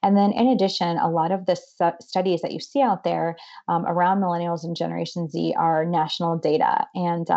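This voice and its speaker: Here a woman speaks with a Midwestern American accent at a fairly quick pace. Her pitch is fairly low, with ordinary variation. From northeast Ohio, Boardman near Youngstown. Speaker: nonprofit president. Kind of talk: interview.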